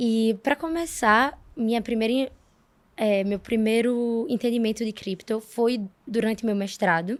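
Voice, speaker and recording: A woman speaks fairly slowly with a fairly high pitch and ordinary pitch variation. The recording is very clean, with a silent background. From Brazil, Alagoas. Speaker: economist, crypto fund associate. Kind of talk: interview.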